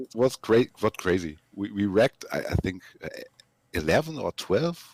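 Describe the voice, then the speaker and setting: Very wide pitch swings at a moderate pace, in a non-native accent. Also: man, medium pitch for a man. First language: not English. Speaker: racing team driver in a game race. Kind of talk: post-race interview. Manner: halting, repeats words.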